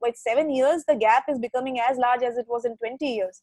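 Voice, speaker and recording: A woman with an Indian accent speaks in a high pitch. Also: dry, close sound with no echo. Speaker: digital marketing executive. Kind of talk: casual chat.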